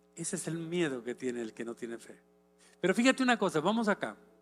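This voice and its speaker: A man's high-pitched voice, dry and close with no echo, over music in the background. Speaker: pastor. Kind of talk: sermon.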